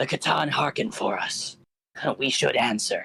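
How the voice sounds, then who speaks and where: A man whispers at a moderate pace in a raspy, put-on character voice. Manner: whispering.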